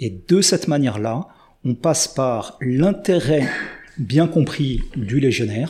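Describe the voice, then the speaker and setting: Very slowly and with lively intonation, a man speaks at a fairly high pitch in a dark, mellow, somewhat breathy tone on a very clean recording with a silent background. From France. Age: 50s. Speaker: army officer. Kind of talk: testimony.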